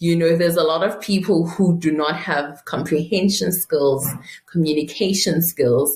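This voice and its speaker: The speech moves at a moderate pace, with very even loudness and fairly even intonation. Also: woman, fairly low pitch for a woman. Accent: Zulu. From South Africa, Mpumalanga. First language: Zulu. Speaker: private wealth advisor. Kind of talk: interview. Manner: halting.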